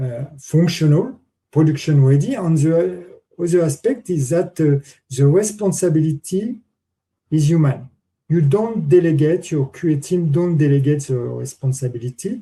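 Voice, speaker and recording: A man's fairly high voice with a dark, mellow tone and a French accent, lively intonation, and a moderate pace. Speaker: conference speaker, testing expert. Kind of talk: conference Q&A answer. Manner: halting, many fillers.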